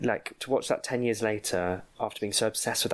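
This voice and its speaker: Speaking at a very fast pace, a man with a British accent uses a fairly low pitch. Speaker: podcast co-host. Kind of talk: casual chat.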